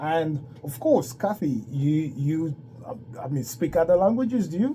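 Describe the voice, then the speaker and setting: A man at a fairly high pitch and fairly slow pace, dark and mellow in tone, with lively intonation. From Ghana / Ivory Coast. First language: French. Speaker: radio host. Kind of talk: radio interview.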